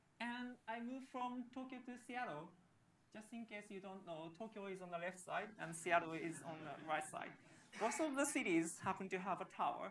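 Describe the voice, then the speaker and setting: With an audible room echo, a woman with a Japanese accent speaks at a moderate pace and medium pitch, her intonation lively and her loudness swinging widely. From Japan, Yokosuka. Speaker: software engineer and developer advocate. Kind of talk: conference talk.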